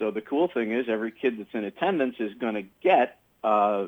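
This man has an ordinary speaking voice, fairly low in pitch, moving at a moderate pace with ordinary pitch variation. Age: 50s. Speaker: comedy magician. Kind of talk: radio interview. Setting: phone call.

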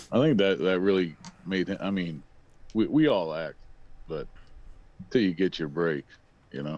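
Pitched very deep and low, a man talks at a moderate pace with lively intonation and long, frequent pauses. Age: 30s. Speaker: podcast co-host. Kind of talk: casual chat.

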